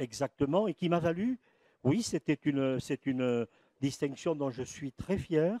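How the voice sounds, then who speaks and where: A man with a fairly high pitch and a dark, mellow tone speaks at a moderate pace, the sound dry and close with no echo. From French Pyrenees (Béarn / Basque parents). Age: 70s. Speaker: historian and lecturer, retired school principal. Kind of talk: lecture. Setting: conference with live audience. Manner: halting, many hesitations.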